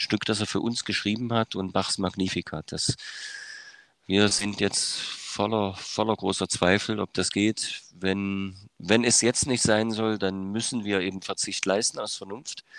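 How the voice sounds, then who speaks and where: A man with a slight Dresden accent speaks at a fairly slow pace and a fairly low pitch, in a monotone, flat intonation. The very clean recording has a silent background and a dry, close sound with no echo. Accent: Dresden Saxon dialect, slight. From eastern Germany, Saxony. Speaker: music educator and conductor. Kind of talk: interview. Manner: hesitant, many filler sounds.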